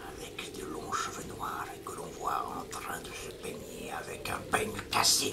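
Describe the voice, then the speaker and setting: A man whispers in a gravelly, put-on character voice at a fairly slow pace. Loud background noise fills the recording. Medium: read story. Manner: earnest, slightly halting French.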